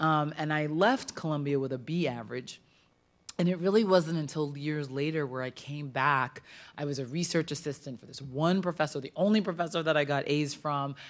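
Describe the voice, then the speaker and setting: A woman's voice sits very deep and low in pitch. She moves at a fairly quick pace with ordinary pitch variation. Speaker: speaker. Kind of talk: lecture. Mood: warm, personal storytelling. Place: hall. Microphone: podium.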